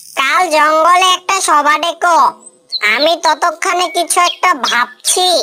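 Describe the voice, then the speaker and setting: A woman does a cartoonish character voice at an extremely high pitch. She delivers it at a fairly slow pace. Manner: calm, persuasive.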